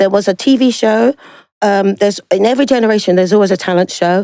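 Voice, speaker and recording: A woman with a South London accent talks very fast at medium pitch, with ordinary pitch variation and a dark, mellow tone. The sound is dry and close with no echo, in a very clean recording with a silent background. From South London, England. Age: 60s. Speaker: singer. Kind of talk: interview. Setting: studio. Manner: animated.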